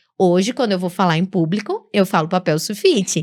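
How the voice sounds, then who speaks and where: The speaker has a northeastern Brazilian accent. Pitch swings very widely throughout. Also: woman, very clean recording, silent background. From Brazilian Northeast. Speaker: public speaking teacher. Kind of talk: podcast interview.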